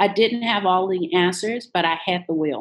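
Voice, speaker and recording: In an American accent, a woman with a plain, everyday voice speaks at a moderate pace and medium pitch with ordinary pitch variation. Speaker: business coach. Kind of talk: interview.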